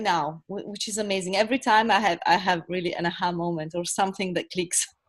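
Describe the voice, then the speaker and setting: A woman is speaking. She has an Italian accent. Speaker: coaching participant. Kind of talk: testimony. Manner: halting.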